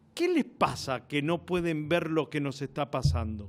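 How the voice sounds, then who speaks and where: Over a very clean recording and a silent background, a man with a fairly high pitch and a normal speaking voice speaks at a fairly slow pace. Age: 50s. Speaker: TV interviewer. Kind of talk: interview.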